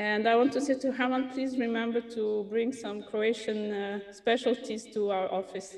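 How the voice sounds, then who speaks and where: Fairly even intonation at a moderate pace with hardly any pauses, over noticeable background noise. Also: woman, fairly high pitch for a woman. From France. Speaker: youth film festival director. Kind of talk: self-introduction.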